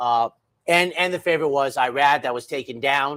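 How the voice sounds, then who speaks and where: A man speaks at a fairly quick pace, his pitch fairly high with ordinary variation. The recording is very clean, with a silent background. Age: 60s. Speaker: horse racing handicapper. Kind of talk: casual chat. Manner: animated.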